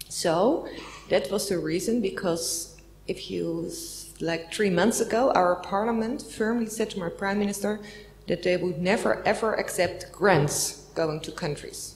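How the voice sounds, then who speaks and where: Speaking at a fairly slow pace with a Dutch accent, a woman shows ordinary pitch variation. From Netherlands. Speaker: diplomat; speaker, politician. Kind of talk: panel discussion. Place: meeting room. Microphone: handheld.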